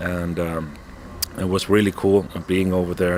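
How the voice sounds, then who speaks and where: A man with a very deep, low pitch speaks in fairly even intonation over noticeable background noise. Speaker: metal band founder and musician. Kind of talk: interview.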